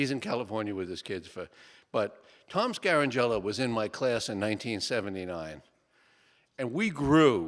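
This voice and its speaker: A man with a Bronx accent and a fairly low pitch at a moderate pace, ordinary pitch variation, on a very clean recording with a silent background. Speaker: structural engineer and author. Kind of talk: book talk to audience. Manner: short and to the point.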